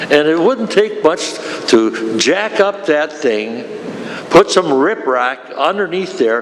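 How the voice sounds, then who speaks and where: A high-pitched man with very wide pitch swings at a very slow pace over noticeable background noise. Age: 80s+. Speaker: retired railroad worker, public commenter. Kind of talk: public comment at meeting. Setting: county board meeting. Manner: animated.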